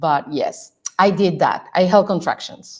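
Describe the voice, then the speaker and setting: With a Mexican accent, a woman talks fairly slowly at a medium pitch. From Mexico. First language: Spanish. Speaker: strategist and coach. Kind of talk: podcast interview. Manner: hesitant, many fillers.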